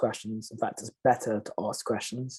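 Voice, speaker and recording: A man's dark, mellow voice at a medium pitch, monotone and flat, at a moderate pace with a British accent. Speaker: panelist. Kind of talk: panel discussion.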